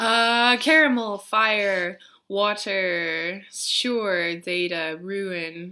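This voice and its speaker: On a very clean recording with a silent background, the voice has a bright, sharp tone and ordinary pitch variation. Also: woman. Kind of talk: word list reading.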